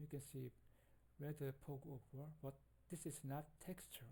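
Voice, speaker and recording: The speaker has a non-native accent and keeps a moderate pace. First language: not English. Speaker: game development tutorial maker. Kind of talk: tutorial. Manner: halting.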